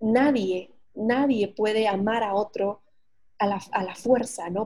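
A woman's fairly high, somewhat breathy voice, dark and mellow in tone, with fairly even intonation. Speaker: psychotherapist and podcaster. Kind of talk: casual interview chat. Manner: hesitant with many fillers.

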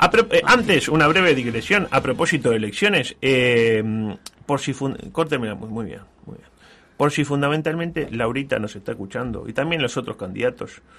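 With a Uruguayan accent, a man talks at a moderate pace and medium pitch, his intonation lively and his loudness swinging widely. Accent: Rioplatense Spanish (Uruguayan). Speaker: radio host. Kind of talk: casual chat. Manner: animated.

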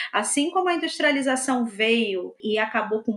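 With a Rio de Janeiro accent, a woman speaks at a fairly slow pace in a fairly high pitch with lively intonation. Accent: Rio de Janeiro (carioca). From Belford Roxo, Rio de Janeiro state, Brazil. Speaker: historian. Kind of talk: interview.

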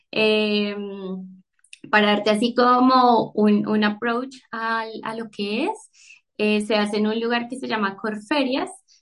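A woman's fairly high voice at a very slow pace, with fairly even intonation and long, frequent pauses. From Colombia, Bogotá. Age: 30s. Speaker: book Instagram creator. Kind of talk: casual chat.

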